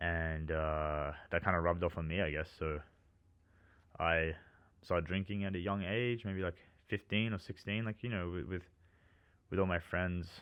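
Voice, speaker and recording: Someone with an Australian accent speaks at a fairly slow pace with fairly even intonation and long, frequent pauses. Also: man. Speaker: vlogger. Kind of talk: personal monologue. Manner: casual, hesitant with many fillers.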